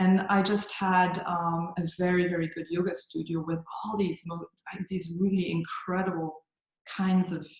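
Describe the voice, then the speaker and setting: A woman with a German accent speaks in a fairly low pitch with monotone, flat intonation. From Germany. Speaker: yoga teacher. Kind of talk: interview. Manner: halting.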